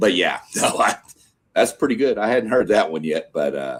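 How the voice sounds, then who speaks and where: A man is speaking. He has a slight Southern US accent. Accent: slight Southern twang. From Texas. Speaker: sports show host. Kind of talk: casual live stream chat. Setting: live stream.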